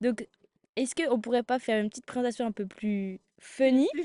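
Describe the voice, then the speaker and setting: A woman with a high voice speaks in an animated tone at a moderate pace, her pitch varying in an ordinary way, recorded with a dry, close sound and no echo. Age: 20s. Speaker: podcast guest, student. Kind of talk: casual chat.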